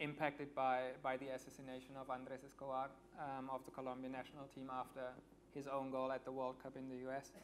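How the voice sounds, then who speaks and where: Talking at a very fast pace, a man delivers his words in a flat monotone over light background noise. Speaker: guest. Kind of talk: interview answer. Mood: earnest, reflective. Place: stage. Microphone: lapel.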